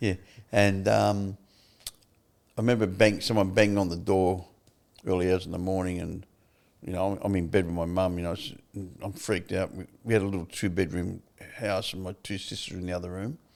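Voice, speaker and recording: Talking in an Australian accent, a man with a very deep, low pitch moves at a fairly quick pace in a monotone, flat intonation, with long, frequent pauses. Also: big swings in loudness. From Australia, Melbourne (Fitzroy). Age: 70s. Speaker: former prisoner turned recovery advocate. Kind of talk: interview. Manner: casual, halting.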